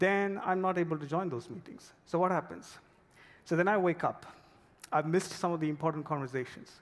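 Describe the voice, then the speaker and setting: A man with a non-native accent talks fairly quickly. His voice is high, with ordinary pitch variation. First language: not English. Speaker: product manager. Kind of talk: conference talk. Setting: stage with audience.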